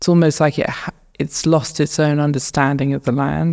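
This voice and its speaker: A woman with a southern English accent, very deep and low in pitch, her intonation fairly even. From England, north of Luton. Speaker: painter. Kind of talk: interview. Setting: art gallery.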